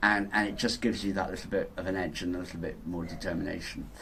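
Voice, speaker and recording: A man speaks with a Yorkshire accent. His voice is fairly low and somewhat breathy. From Yorkshire, northern England. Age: 60s. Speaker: inventor. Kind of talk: interview. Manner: hesitant, many repetitions and fillers.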